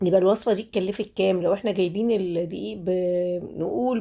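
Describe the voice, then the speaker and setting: This woman talks at a moderate pace in a medium pitch, with a dark, mellow tone. Her intonation stays fairly even. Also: very clean recording, silent background. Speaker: home cooking YouTuber. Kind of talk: cooking tutorial. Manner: halting, many fillers.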